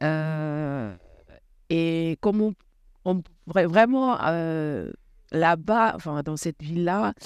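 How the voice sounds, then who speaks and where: A woman with a fairly low pitch speaks at a very slow pace, her intonation lively and her pauses long and frequent, on a very clean recording with a silent background. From Senegal, Rufisque. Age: 30s. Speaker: former volleyball player. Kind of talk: interview.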